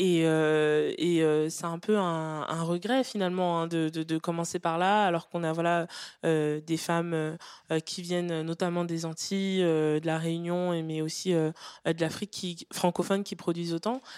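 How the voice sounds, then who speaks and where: A woman speaks at a fairly slow pace in a fairly low, flat monotone, on a very clean recording with a silent background. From Western Europe, Cameroonian heritage. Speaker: poet. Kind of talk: public book club discussion. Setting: live venue with audience. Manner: hesitant, many repetitions.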